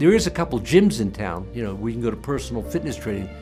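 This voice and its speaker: With music in the background, a man with an American accent speaks at a fairly low pitch, his voice making very wide pitch swings. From Sarasota, Florida. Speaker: retired businessman, heart attack survivor. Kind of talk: patient testimonial interview. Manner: casual, conversational.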